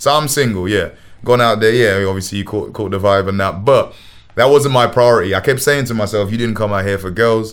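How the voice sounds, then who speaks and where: With a London accent, a man talks at a fairly quick pace. His pitch is medium, with ordinary variation. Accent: London Multicultural English. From England. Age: 20s. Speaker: musician. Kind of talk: casual chat.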